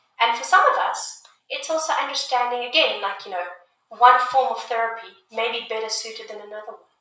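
Speaking at a fairly quick pace, a woman has a bright, sharp tone and big swings in loudness. Audible room echo is present. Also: ordinary pitch variation. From South Africa. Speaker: music therapist and army veteran. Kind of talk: interview.

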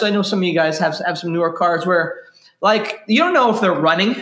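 A man is speaking. His intonation is lively. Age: 40s. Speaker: pastor. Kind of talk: sermon. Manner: repetitive stammering starts.

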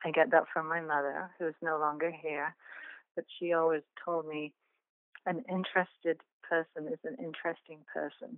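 A woman with an English accent speaks at a moderate pace in a low pitch with little pitch movement. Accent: English (England).

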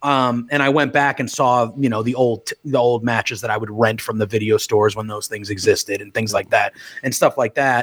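Using an ordinary speaking voice, a man of medium pitch talks at a fairly quick pace with fairly even intonation and hardly any pauses. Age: 30s. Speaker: wrestling podcaster. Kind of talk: casual chat.

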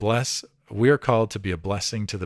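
A man with an American accent and a fairly low pitch speaks at a moderate pace in an ordinary speaking voice, with a dry, close sound and no echo. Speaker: pastor and church consultant. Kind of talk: interview. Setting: remote interview.

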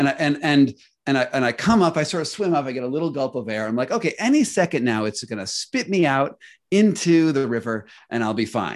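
A man with a normal speaking voice talks at a fairly high pitch with lively intonation. The background is quiet. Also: fairly quick pace. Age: 40s. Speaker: author and investigative journalist. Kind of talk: casual interview.

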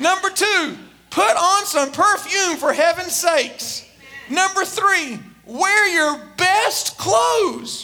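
This man has an extremely high pitch and a raised, projected voice. He talks at a very slow pace with very even loudness and ordinary pitch variation. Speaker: preacher. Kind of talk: sermon. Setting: church.

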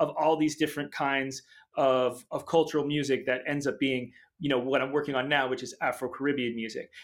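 A man speaks in a normal speaking voice, fairly high in pitch with ordinary pitch variation, at a moderate pace. The recording is very clean with a silent background. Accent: American. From Boston area, Massachusetts. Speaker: pianist and film composer. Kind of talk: interview.

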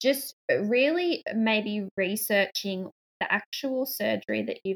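A woman with an Australian accent, in a dry, close sound with no echo. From Australia, New South Wales. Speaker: mother and parenting blogger. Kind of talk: interview.

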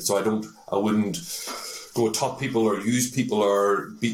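The speaker is a man with a Northern Irish accent. His pitch is fairly low. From Northern Ireland, Belfast. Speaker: tech sales executive. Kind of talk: interview. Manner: hesitant with frequent fillers.

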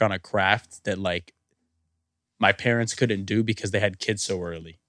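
At a fairly slow pace, a man with a normal speaking voice talks with ordinary pitch variation in a very clean recording with a silent background and a dry, close sound with no echo. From Puerto Rican heritage, US. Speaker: musician. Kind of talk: casual chat.

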